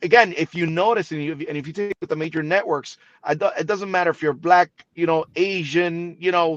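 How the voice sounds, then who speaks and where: A man at a high pitch and moderate pace, with fairly even intonation and a dry, close sound with no echo. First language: Spanish. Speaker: TV broadcaster. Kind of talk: interview.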